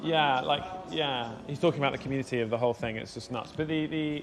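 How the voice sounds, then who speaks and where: With a southern English accent, a man talks at a very fast pace in a fairly high voice with ordinary pitch variation. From southern England, Surrey area. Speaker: motorcycle vlogger and streamer. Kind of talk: casual chat. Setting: live motorcycle stream. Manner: animated.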